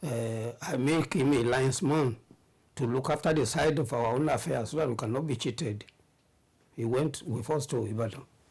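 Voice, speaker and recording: The man's voice sits at a medium pitch. It is somewhat breathy. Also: ordinary pitch variation, moderate pace. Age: 70s. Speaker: retired teacher, coach and politician. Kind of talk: interview answer.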